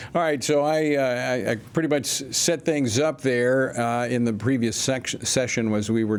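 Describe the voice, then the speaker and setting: A man's medium-pitched voice rises and falls in an ordinary way against noticeable background noise. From Louisiana. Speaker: radio host. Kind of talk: radio interview.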